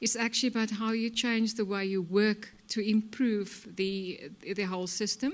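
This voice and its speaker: In a plain, everyday voice, a woman talks at a moderate pace, fairly high in pitch with ordinary pitch variation, over a quiet background. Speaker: healthcare executive. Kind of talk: conference presentation.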